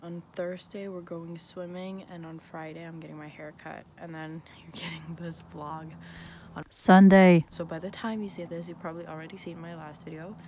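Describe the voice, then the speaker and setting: Over light background noise, a woman with an unremarkable speaking voice talks at a moderate pace and a fairly low pitch, her intonation fairly even and the sound dry with no echo. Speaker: vlogger. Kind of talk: casual vlog chat. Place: street. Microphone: phone near.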